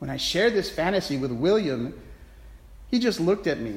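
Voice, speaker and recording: The recording has audible room echo. The voice moves in very wide pitch swings. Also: man. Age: 50s. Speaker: priest. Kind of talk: sermon. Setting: church.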